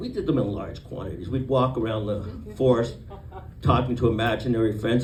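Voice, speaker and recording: Male speech, audible room echo, noticeable background noise. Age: 60s. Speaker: comedian. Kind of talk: stand-up.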